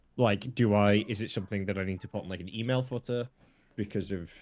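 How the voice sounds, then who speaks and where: Fairly low in pitch, a man talks fairly quickly with ordinary pitch variation. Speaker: podcast co-host. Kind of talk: casual chat. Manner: rapid when stressed.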